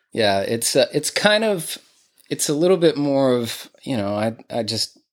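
In a very clean recording with a silent background, a man speaks with an American accent. His pitch is medium and his pace fairly slow. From Texas, Greenville. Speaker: musician and studio owner. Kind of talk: interview. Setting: his home music room.

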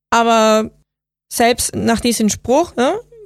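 A woman with a Spanish accent speaks at a fairly high pitch with fairly even intonation. The recording is very clean, with a silent background. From Venezuela. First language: Spanish (speaking German). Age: 30s. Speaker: software designer. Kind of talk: interview.

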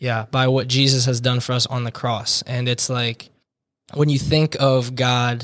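A man's medium-pitched voice in an American accent, fairly slow and monotone with flat intonation. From US Northeast, New Jersey. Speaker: divinity student. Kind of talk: casual interview, personal testimony.

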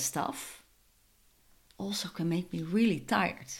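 A woman speaks very slowly in a fairly low voice with vocal fry. Her pitch swings very widely. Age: 40s. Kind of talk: casual monologue.

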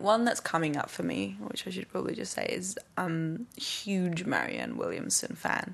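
A woman speaks with an English accent. She hardly pauses at all. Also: moderate pace. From England. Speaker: yoga teacher and dancer. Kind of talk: casual interview.

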